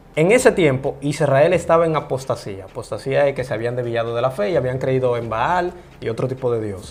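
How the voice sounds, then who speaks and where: Noticeable background noise sits under a man speaking at a fairly quick pace. His pitch varies in an ordinary way. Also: medium pitch for a man. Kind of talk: interview.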